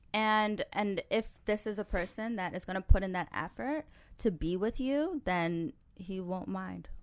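A woman with a New York accent, medium in pitch, lively in intonation and fairly slow in pace, on a very clean recording with a silent background. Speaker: podcast host and matchmaker. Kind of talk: casual chat.

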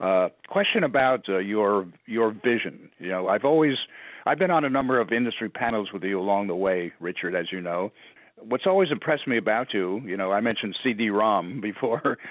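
This is an ordinary speaking voice moving at a fairly quick pace with ordinary pitch variation. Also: man. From New York City. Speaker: podcast host, PR agency partner. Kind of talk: interview.

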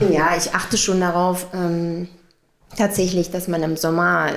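Monotone, flat intonation from a woman at a fairly low pitch. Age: 30s. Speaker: head of housekeeping in care home. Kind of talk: casual interview. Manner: hesitant with fillers.

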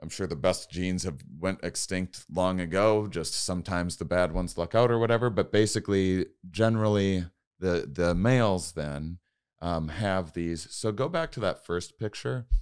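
A man's very deep, low voice in an American accent, moderate in pace with ordinary pitch variation, on a very clean recording with a silent background. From Wisconsin, US Midwest. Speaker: comedian. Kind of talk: casual chat. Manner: halting.

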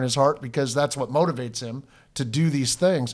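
Recorded very cleanly against a silent background, a man with a fairly high pitch speaks at a moderate pace. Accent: Pacific Northwest. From Washington State, Snohomish County. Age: 50s. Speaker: pastor. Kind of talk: casual chat.

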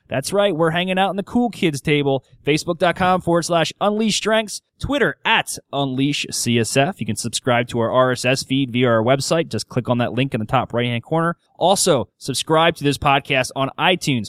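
A man speaks with lively intonation at a moderate pace. The sound is dry and close, with no echo. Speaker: podcast host and strengths coach. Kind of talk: podcast interview. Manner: radio announcer style.

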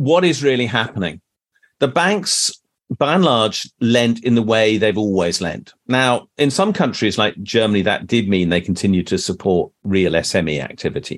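The man's pitch swings very widely around a medium level. He keeps a moderate pace. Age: 60s. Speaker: professor.

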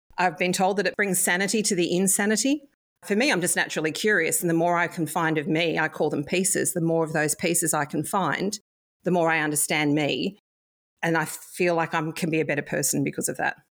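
With an Australian accent, a woman of fairly low pitch talks at a fairly quick pace, her intonation fairly even and loudness very even, on a very clean recording with a silent background. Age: 50s. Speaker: past life reader. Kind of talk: interview.

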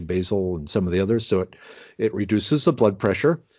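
This man has a plain, everyday voice with an American accent. His pitch is fairly low, with ordinary pitch variation. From Minnesota. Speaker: forager and medicinal plant expert. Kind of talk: interview conversation.

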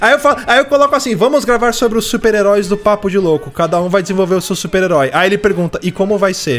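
Very fast and with hardly any pauses, a man talks in a high pitch with lively intonation and very even loudness. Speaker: podcast host. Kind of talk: casual chat.

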